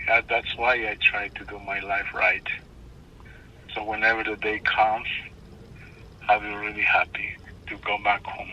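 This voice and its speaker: Noticeable background noise sits behind the speech. A man talks at a fairly slow pace. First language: not English. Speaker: stranger who helped. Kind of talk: phone call. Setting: phone call. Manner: halting. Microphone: phone line, hard to hear.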